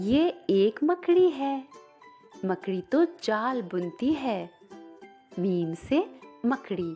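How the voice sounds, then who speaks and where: Music plays in the background as a woman with a fairly high voice swings her pitch very widely. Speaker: voice over and dubbing artist. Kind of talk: children's educational lesson.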